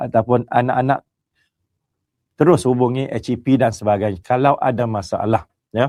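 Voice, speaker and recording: Against a quiet background, a man's medium-pitched voice has a dark, mellow tone and a dry, close sound with no echo. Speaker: college director giving a briefing. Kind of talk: formal briefing to parents. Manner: formal.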